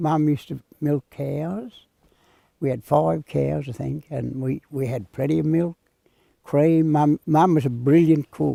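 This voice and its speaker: A man with a rural Australian accent speaks at a fairly slow pace in a fairly high pitch. His tone is dark and mellow, his intonation fairly even, and the sound is dry and close with no echo. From Australia, western New South Wales. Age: 80s+. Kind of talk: interview storytelling.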